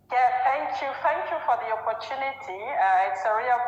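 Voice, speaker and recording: Against music in the background and audible room echo, a woman with a French accent speaks at a moderate pace with lively intonation. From Gabon and France. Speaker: business executive. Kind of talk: interview. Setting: live video stream. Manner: halting, many repetitions.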